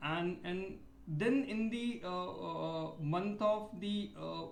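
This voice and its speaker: A man with an Indian accent speaks at a high pitch and a very slow pace, with ordinary pitch variation. Noticeable background noise and audible room echo are present. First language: Hindi. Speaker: PhD research scholar. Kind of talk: video complaint monologue. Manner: halting, many fillers.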